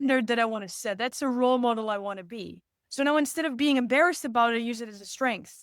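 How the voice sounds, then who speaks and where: Very fast and animated, a woman with a non-native accent speaks in a high pitch, with ordinary pitch variation and big swings in loudness. The recording is very clean, with a silent background. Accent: non-native accent, noticeable. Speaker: speaker coach. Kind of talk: podcast interview.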